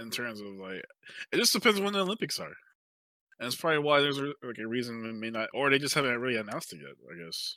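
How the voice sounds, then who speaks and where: A man's bright, sharp, animated voice at medium pitch, very fast, with very wide pitch swings and big swings in loudness, on a very clean recording with a silent background. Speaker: podcast co-host. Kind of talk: casual banter about gaming. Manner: joking, animated.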